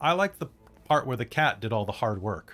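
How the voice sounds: Putting on a character voice, a man talks at a medium pitch and a fairly quick pace.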